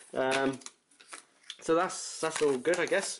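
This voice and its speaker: A man speaks with a British accent at a fairly slow pace. His pitch varies in an ordinary way. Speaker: gamer. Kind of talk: casual unboxing talk to camera.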